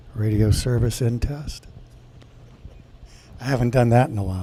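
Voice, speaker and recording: A man's medium-pitched voice with ordinary pitch variation against noticeable background noise. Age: 60s. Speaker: radio systems engineer. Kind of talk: conference presentation. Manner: halting, with fillers and repetitions.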